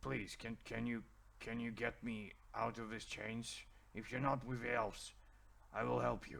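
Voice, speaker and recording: A man uses a put-on character voice that is raspy, pitched at a medium level. He goes at a moderate pace with fairly even intonation and long, frequent pauses. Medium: actual play. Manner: halting, broken grammar.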